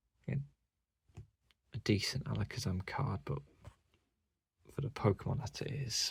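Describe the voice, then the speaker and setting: Vocal fry colors a man's lively intonation as he speaks at a moderate pace in a British accent. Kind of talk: casual collection walkthrough.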